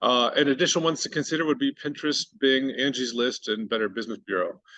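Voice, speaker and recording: At a fairly quick pace, a man talks in a bright, sharp tone with a fairly high pitch. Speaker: digital marketing presenter. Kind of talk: workshop presentation. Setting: workshop with live and virtual audience. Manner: fast.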